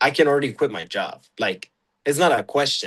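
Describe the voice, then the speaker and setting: A man speaks with a Mexican accent. His intonation is lively. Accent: Mexican Spanish accent, natural. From Mexico, Chihuahua. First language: Spanish. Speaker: UGC content creator. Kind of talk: casual interview. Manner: halting, many fillers and restarts.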